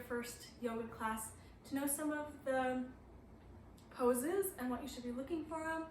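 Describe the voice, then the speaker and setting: With audible room echo and noticeable background noise, a woman speaks at a moderate pace in a high pitch with ordinary pitch variation. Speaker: yoga teacher. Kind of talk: tutorial. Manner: casual, hesitant with fillers.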